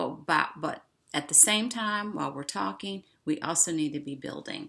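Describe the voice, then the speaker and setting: Speaking in an American accent at a moderate pace, a woman has a very deep, low pitch, vocal fry, very wide pitch swings and a bright, sharp tone. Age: 60s. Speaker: online show host. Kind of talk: casual monologue.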